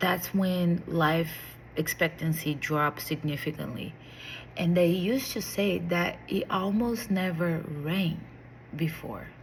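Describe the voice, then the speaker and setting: A woman speaks very slowly in a Portuguese accent, her voice fairly low-pitched and somewhat breathy. Her pitch varies in an ordinary way, and the room echo is audible. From Brazil. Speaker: vlogger. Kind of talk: casual monologue to camera. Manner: hesitant, with fillers and restarts.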